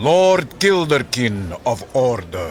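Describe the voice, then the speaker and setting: A man's put-on character voice at medium pitch, with very wide pitch swings, over clear background noise. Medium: audio drama. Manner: formal, stiff.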